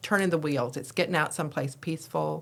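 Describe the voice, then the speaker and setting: Her voice is very deep and low in pitch. The woman is heard on a very clean recording with a silent background. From East Texas. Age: 70s. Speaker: podcast host, retired nurse. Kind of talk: casual interview chat.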